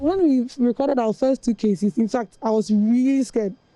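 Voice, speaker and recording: A woman speaks with a Ghanaian accent in a high pitch and a dark, mellow tone. The sound is dry and close, with no echo. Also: very even loudness. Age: 20s. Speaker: national service worker. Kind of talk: news interview testimony.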